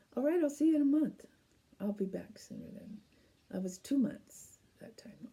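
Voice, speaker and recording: A woman with a dark, mellow tone and vocal fry speaks at a moderate pace, her intonation lively. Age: 70s. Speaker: knitting podcast host. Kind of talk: casual chat.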